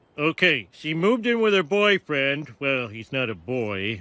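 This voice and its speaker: A cartoonish character voice sits at a low-to-middle pitch, moving at a moderate pace with very wide pitch swings. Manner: whiny, groaning.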